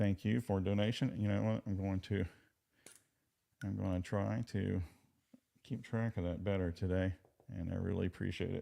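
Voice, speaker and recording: With a Southern US accent, a man speaks at a moderate pace in a very deep, low pitch and a dark, mellow tone, with fairly even intonation and long, frequent pauses. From Virginia. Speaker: legal commentary streamer. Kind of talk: live stream chat commentary. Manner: casual, halting with fillers.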